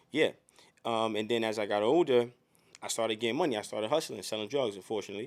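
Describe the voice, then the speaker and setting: A man speaks at a very fast pace with a medium-pitched voice. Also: ordinary pitch variation. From Harlem, New York City. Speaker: podcast guest, internet personality. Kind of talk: casual interview.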